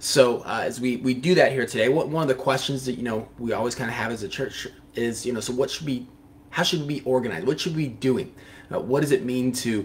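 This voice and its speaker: Somewhat breathy, the speech runs at a very fast pace with ordinary pitch variation. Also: man. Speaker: pastor or Bible teacher. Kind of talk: devotional Bible teaching. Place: studio.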